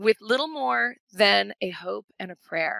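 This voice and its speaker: A woman is speaking. The sound is dry and close with no echo. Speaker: business coach and trainer. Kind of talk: webinar workshop with Q&A. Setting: online webinar. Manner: fast; animated.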